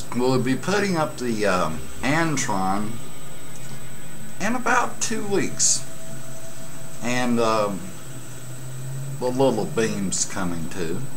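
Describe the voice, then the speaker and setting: The speech moves at a very slow pace with very wide pitch swings. Long, frequent pauses fall between phrases as music plays in the background. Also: man. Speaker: CB radio hobbyist. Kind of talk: casual vlog chat. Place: home room. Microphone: webcam.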